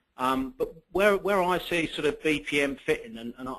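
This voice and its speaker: The man's pitch varies in an ordinary way. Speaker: enterprise architecture consultant and account manager. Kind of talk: webinar presentation. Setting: online webinar. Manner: hesitant, many fillers.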